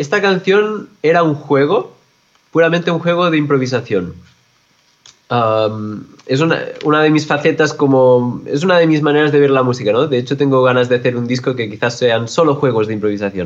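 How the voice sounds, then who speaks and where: A man with a normal speaking voice talks at a moderate pace, his fairly high pitch carrying lively intonation. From Catalonia, Spain (Olot). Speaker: jazz musician and composer. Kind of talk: interview.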